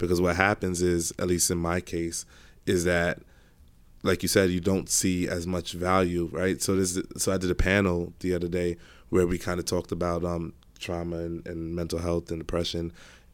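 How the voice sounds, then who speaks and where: A man's very deep, low voice with an American accent, monotone and flat, on a very clean recording with a silent background. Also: moderate pace. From Brooklyn, New York. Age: 30s. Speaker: personal trainer. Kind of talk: casual chat.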